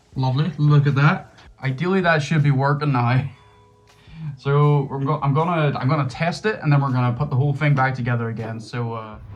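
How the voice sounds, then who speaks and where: Here a man with a Northern Irish accent talks at a fairly quick pace. His pitch is fairly high, with ordinary variation. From Northern Ireland. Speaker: gaming YouTuber. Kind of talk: casual talk to camera.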